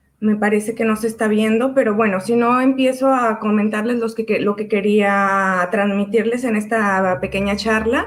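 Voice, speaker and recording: Speaking at a moderate pace with hardly any pauses, a woman has a plain, everyday voice with a fairly high pitch and fairly even intonation. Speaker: chemist, biofuels expert. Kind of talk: online panel talk.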